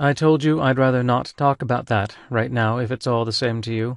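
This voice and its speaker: Using a put-on, robotic character voice, a man speaks at a medium pitch and a moderate pace. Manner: flat, robotic.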